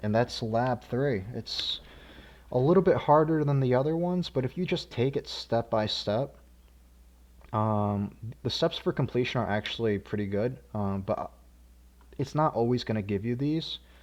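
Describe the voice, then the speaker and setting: Long, frequent pauses over a quiet background. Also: moderate pace. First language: not English. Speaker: programming course instructor. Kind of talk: tutorial. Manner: casual, many filler words.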